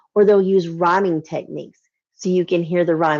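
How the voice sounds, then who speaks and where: A woman speaks with a Southern US accent at a fairly low pitch. The background is quiet. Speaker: children's literature educator. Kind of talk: lesson for children. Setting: livestream.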